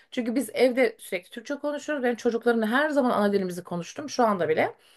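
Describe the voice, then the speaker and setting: Lively intonation marks this woman's speech. Her pitch is high. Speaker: teacher. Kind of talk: interview. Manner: hesitant, many fillers.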